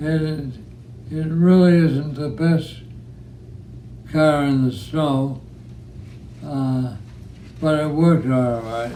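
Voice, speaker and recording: Over noticeable background noise, a man with a fairly high pitch speaks at a very slow pace with ordinary pitch variation and long, frequent pauses. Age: 80s+. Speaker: war veteran. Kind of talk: interview answer.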